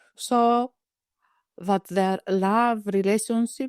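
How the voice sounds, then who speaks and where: Speaking at a very slow pace with a Greek accent, a woman keeps a medium pitch and fairly even intonation in a dry, close sound with no echo. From Greece. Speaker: psychiatrist. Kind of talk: interview. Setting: webinar.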